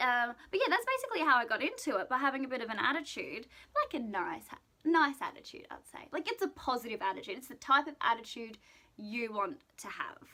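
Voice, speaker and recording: In an Australian accent, a woman speaks at a fairly quick pace in a raised, projected, high voice, with very wide pitch swings and big swings in loudness. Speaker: vlogger and pageant contestant. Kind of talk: casual vlog monologue. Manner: fast.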